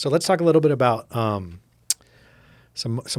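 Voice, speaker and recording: Ordinary pitch variation in a man's speech, at a moderate pace. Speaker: podcast co-host. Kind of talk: casual chat.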